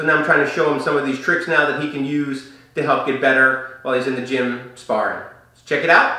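A man talks at a very fast pace. Audible room echo can be heard in the recording. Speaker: martial arts coach. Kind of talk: tutorial. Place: studio.

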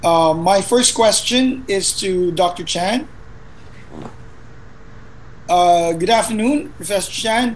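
Lively intonation carries the slow-paced speech, broken by long, frequent pauses. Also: man, high pitch for a man.

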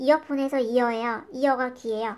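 A woman is talking. The recording is very clean and the background silent. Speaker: English teacher. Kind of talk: tutorial. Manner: slow.

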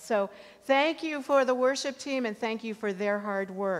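A woman speaks at a moderate pace in a high voice, her pitch rising and falling in an ordinary way. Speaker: pastor. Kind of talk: church announcements. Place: church.

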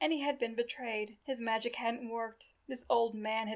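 Someone reads the text in an unforced reading voice.

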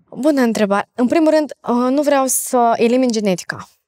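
A woman speaks at a fairly quick pace in a normal speaking voice, with ordinary pitch variation and a quiet background. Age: 20s. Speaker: facial exercise coach. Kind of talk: podcast interview. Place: studio.

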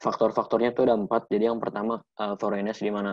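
Against a quiet background, a man speaks at a very fast pace and a fairly low pitch. His intonation is monotone and flat. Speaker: medical student; presenter. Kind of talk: lecture. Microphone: webcam.

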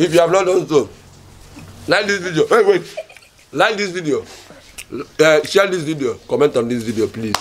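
Light background noise can be heard. A man speaks with very wide pitch swings. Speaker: comedy skit actor. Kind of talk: comic skit dialogue and channel outro. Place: street.

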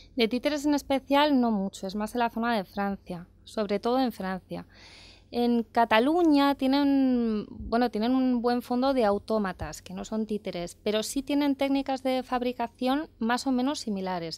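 The delivery is fairly slow, with ordinary pitch variation and a dry sound that has no echo. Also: woman, high pitch for a woman. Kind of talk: interview answer. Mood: friendly, animated. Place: studio. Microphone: handheld.

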